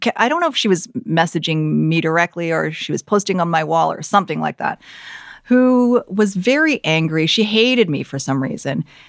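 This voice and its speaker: An unremarkable speaking voice with a Canadian accent and lively intonation moves at a moderate pace. The recording is very clean with a silent background, and the sound is dry and close with no echo. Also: woman. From Canada, Vancouver area. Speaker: news anchor. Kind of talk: casual chat.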